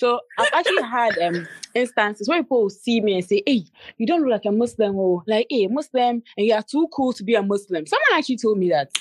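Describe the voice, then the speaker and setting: A woman with a Ghanaian accent, fairly high in pitch, with lively intonation at a fairly quick pace, in a dry, close sound with no echo. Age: 20s. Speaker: YouTuber and entrepreneur. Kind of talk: casual chat. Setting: at home, house being painted.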